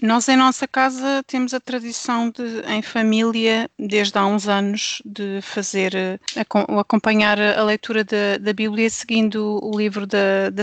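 The speaker has a European Portuguese accent and a very slow pace with hardly any pauses. The sound is dry and close, with no echo. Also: woman. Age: 40s. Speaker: pastor's wife and devotional author. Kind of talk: casual chat.

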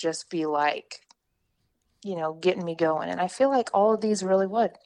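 Here a woman has an unremarkable speaking voice at a medium pitch, with lively intonation and a moderate pace. The background is quiet. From Oklahoma. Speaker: weather podcast co-host, meteorology student. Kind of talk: casual chat.

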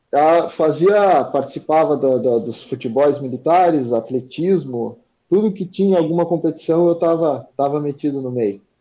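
A man talks at a moderate pace with hardly any pauses. His pitch variation is ordinary. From southern Rio Grande do Sul, Brazil (Arroio Grande). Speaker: wheelchair-using horse rider. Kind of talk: interview.

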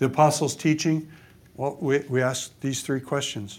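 Speaking fairly quickly with a West Coast accent, a man at medium pitch is heard on a very clean recording with a silent background. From Oregon, US. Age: 70s. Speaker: pastor and author. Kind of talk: conference talk. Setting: stage with audience. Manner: animated, repetitive false starts.

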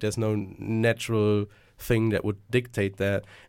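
With a German accent, the speaker talks at a moderate pace in a very clean recording with a silent background. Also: man. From Germany. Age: 20s. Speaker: student podcast host. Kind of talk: casual podcast discussion. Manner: hesitant, repeats words.

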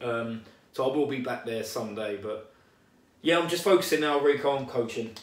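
With audible room echo, a man speaks fairly quickly at a medium pitch that varies in an ordinary way. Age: 30s. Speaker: boxing coach. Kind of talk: casual chat.

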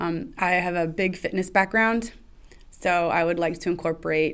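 At a moderate pace, a woman speaks in a normal speaking voice with a fairly low pitch and fairly even intonation, in a very clean recording with a silent background. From Canada, Ottawa. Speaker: recreation director. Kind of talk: casual interview.

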